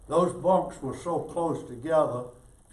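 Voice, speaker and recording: The room audibly echoes this man's speech. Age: 80s+. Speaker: war veteran. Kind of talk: storytelling talk to an audience.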